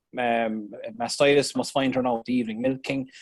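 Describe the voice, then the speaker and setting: A man speaks at medium pitch in an Irish accent. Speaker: dairy farmer. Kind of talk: explaining a case on a video call. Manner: halting, many fillers.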